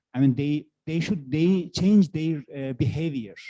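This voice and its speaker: A man with a Turkish accent speaks in a dark, mellow tone with ordinary pitch variation. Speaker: university researcher. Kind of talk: workshop Q&A. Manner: halting. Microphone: too quiet, far from mic.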